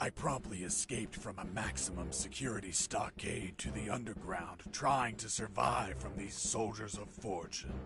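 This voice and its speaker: A man uses a put-on character voice at a fairly low pitch. He keeps a moderate pace over clear background noise. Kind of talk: 1980s action-movie parody. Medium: video game. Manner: deadpan, sarcastic.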